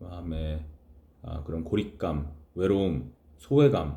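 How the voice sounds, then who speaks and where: Very slowly, a man speaks in a dark, mellow, somewhat breathy voice with lively intonation. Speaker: chaplain. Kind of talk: casual talk to camera.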